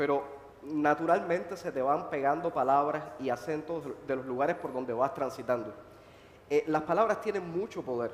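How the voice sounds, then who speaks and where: There is noticeable background noise behind a man's fairly high voice. He talks at a moderate pace with ordinary pitch variation. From Cuba, Holguín (eastern Cuba). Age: 30s. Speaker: playwright and activist. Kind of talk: panel discussion. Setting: stage with audience at book fair.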